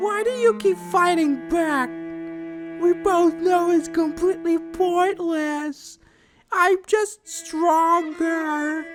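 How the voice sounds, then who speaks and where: A man's put-on character voice, extremely high in pitch and very slow, with faint music in the background. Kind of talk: dramatic horror monologue. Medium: audio drama. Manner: taunting, menacing, condescending.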